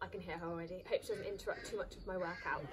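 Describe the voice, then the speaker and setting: Against noticeable background noise, a woman talks at a very fast pace with very wide pitch swings. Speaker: fitness instructor. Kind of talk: workout instruction vlog. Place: garden. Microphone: phone near.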